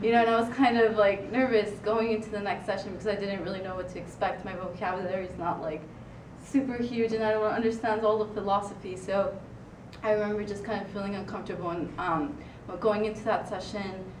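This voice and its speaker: With a Spanish accent, a woman speaks very fast at a medium pitch and fairly even intonation. Noticeable background noise and audible room echo fill the recording. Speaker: student writing consultant. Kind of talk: presentation. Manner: halting, many fillers.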